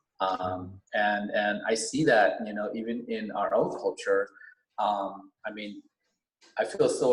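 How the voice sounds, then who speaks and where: A man with a Vietnamese accent speaks at a fairly slow pace. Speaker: educator. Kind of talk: podcast interview. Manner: hesitant, many fillers.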